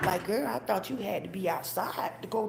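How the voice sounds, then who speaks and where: Moderately paced female speech in a medium pitch, amid noticeable background noise and audible room echo. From Atlanta, Georgia. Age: 30s. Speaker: live streamer. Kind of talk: casual chat.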